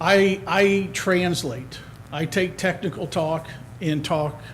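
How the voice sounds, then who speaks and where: A man talks with fairly even intonation, and audible room echo surrounds his voice. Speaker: resident applying for committee. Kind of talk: public comment at council meeting. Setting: town council meeting. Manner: loud.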